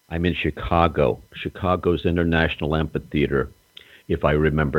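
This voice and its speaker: A man's very deep, low voice with vocal fry, fairly even intonation and a fairly quick pace. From North Carolina. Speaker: retired pro wrestler. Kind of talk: storytelling interview. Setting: phone call. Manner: theatrical.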